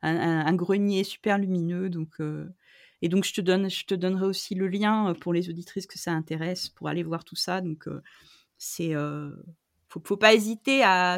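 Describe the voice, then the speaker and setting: In a very clean recording with a silent background, a woman speaks at a moderate pace with medium pitch and fairly even intonation. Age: 40s. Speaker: photographer. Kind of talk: interview. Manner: hesitant, many fillers.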